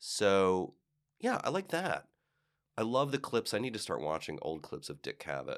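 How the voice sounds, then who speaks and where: A man at a fairly slow pace with long, frequent pauses, in a very clean recording against a silent background. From Cleveland, Ohio. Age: 50s. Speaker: actor and style commentator. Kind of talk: interview. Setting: studio.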